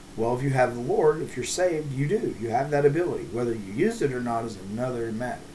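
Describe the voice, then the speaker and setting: A man talks at a fairly quick pace with lively intonation and a dark, mellow, somewhat breathy tone. Light background noise can be heard. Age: 40s. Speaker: pastor. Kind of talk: devotional bible teaching. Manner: halting, many fillers. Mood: earnest, calm. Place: home room. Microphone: webcam.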